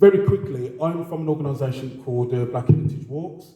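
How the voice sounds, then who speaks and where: A man's medium-pitched voice with a Birmingham accent, with audible room echo. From Birmingham, England. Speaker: heritage organisation co-founder, community engagement officer. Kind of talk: panel talk at a lecture event.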